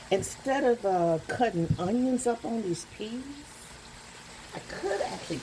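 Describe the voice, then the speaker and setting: Over noticeable background noise, a woman with a Southern US accent speaks at a fairly slow pace. Her medium-pitched voice has lively intonation. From US South. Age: 60s. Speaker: home cook vlogger. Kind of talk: cooking tutorial. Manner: casual, rambling.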